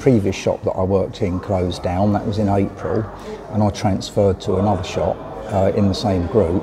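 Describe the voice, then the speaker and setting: With a British accent, a man speaks at a moderate pace in a fairly low, monotone voice against noticeable background noise. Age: 60s. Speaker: vlogger and cyclist. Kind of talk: casual vlog talk to camera. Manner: hesitant, many fillers.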